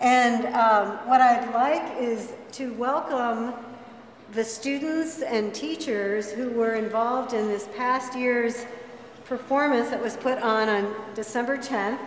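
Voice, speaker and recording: A woman speaks at a fairly slow pace with ordinary pitch variation. Light background noise and audible room echo are present. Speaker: event host. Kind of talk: ceremony address. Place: classroom. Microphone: camera far.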